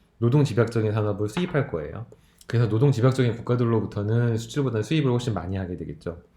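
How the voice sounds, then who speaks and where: A man's somewhat breathy voice of medium pitch, dark and mellow in tone, with audible room echo. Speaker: lecturer. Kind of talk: recorded lecture.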